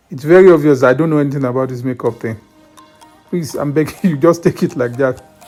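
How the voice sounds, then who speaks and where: A man's fairly high voice at a very fast pace, with ordinary pitch variation and big swings in loudness, over music in the background. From Nigeria. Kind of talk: comedic voiceover commentary. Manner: humorous, joking.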